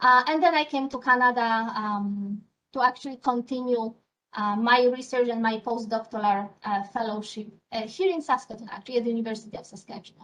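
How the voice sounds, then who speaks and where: A woman with a Polish accent speaks at a fairly quick pace in a fairly high pitch. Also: ordinary pitch variation. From Poland. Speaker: scientist. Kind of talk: interview. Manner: hesitant, many fillers.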